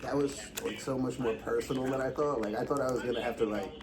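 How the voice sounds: Speaking fast at a medium pitch, the man keeps his intonation fairly even while audible room echo surrounds him.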